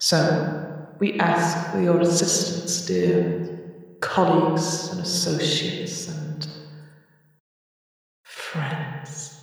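Using a put-on character voice, a woman speaks raspily at a fairly low pitch and a very slow pace. Strong echo surrounds her words. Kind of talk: silky diplomatic speech. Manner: sly, smiling, falsely friendly.

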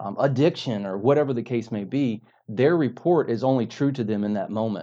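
Over a quiet background, a man with a dark, mellow tone speaks at a fairly quick pace. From North Carolina. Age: 40s. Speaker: mental health and addiction counselor. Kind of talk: interview testimony.

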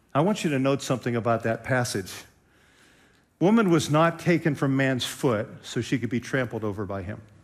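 With an American accent and an unremarkable speaking voice, a man talks at a fairly quick pace and medium pitch with lively intonation on a very clean recording with a silent background. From Western Pennsylvania. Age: 60s. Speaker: pastor. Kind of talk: sermon.

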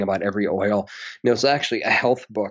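This man rushes along at a very fast pace, his medium pitch showing ordinary variation. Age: 30s. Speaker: public health researcher and author. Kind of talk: casual interview. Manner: animated.

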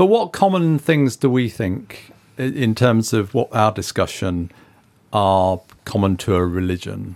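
In an unremarkable speaking voice, the speaker goes at a fairly slow pace with lively intonation. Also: man, medium pitch for a man. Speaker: podcast co-host. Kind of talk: casual chat.

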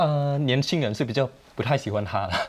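This is a man talking. The rises and falls in his pitch are normal. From Thailand. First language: Thai (speaking Chinese). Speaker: Thai student activist. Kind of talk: TV panel discussion. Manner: hesitant, many fillers.

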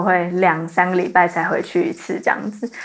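Speaking with a medium pitch and ordinary pitch variation, a woman has a plain, everyday voice. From Taiwan, New Taipei (Zhonghe). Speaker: university student. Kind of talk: casual chat.

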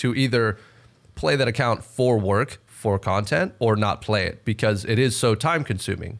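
A man with an unremarkable speaking voice and an American accent talks at a moderate pace and medium pitch, with ordinary pitch variation and very even loudness. The recording is very clean, with a silent background. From Texas. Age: 20s. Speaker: gaming content creator. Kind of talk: casual chat.

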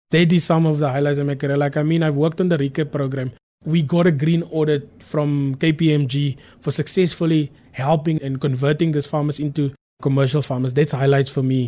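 Fairly quick and monotone, a man speaks with flat intonation, a fairly high pitch and a dark, mellow tone. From South Africa. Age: 30s. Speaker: agricultural business manager. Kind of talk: interview.

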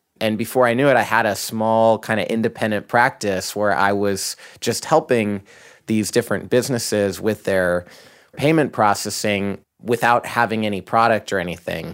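This man has a plain, everyday voice, fairly low in pitch, with ordinary pitch variation at a moderate pace. The recording is very clean, with a silent background. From rural Idaho, US. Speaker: company CEO. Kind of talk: interview.

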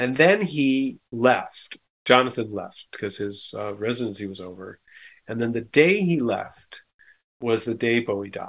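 This man has a plain, everyday voice at a medium pitch, talking at a fairly slow pace with ordinary pitch variation and big swings in loudness. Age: 60s. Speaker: musician and arranger. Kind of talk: casual interview chat.

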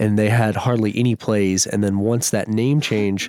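With an American accent and an ordinary speaking voice, a man talks at a moderate pace, his pitch fairly low and his intonation fairly even. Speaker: bass music producer. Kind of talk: casual interview chat. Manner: laid-back.

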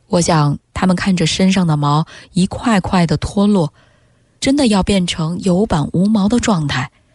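In a normal speaking voice, a woman of medium pitch talks with ordinary pitch variation and very even loudness, in a dry, close sound with no echo. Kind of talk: literary reading aloud of a Chinese essay, expressive narration. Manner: slow, sombre, emotive and mournful, lingering over the imagery of the suffering camels.

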